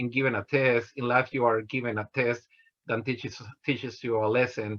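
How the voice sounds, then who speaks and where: At a moderate pace, this voice speaks in a Mexican accent with monotone, flat intonation. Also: man. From Mexico, Guanajuato. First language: Spanish. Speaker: engineer. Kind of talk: motivational talk. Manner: halting, many fillers.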